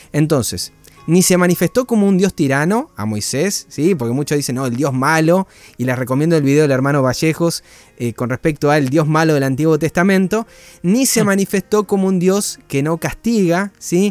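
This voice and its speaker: Lively in intonation, a man with a fairly high pitch speaks in a dry, close sound with no echo. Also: moderate pace. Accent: Rioplatense. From Argentina. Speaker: Bible study co-host. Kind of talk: online Bible study. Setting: livestream. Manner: talkative.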